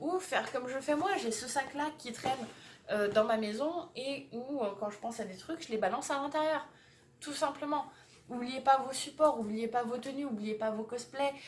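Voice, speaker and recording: Here a woman speaks at a high pitch with ordinary pitch variation. Her pace is moderate, with noticeable background noise behind her. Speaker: vlogger. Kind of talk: casual vlog.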